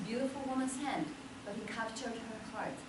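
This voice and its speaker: A woman's high-pitched voice at a moderate pace, with ordinary pitch variation, audible room echo and noticeable background noise. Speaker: motivational speaker. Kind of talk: speech. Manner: animated.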